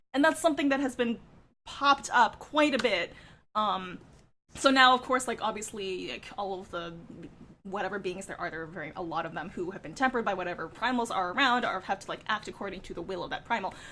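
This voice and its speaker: At a very fast pace, a woman speaks in an excited, animated, bright and sharp tone, medium in pitch, with lively intonation. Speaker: gaming content creator. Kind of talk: reaction video commentary.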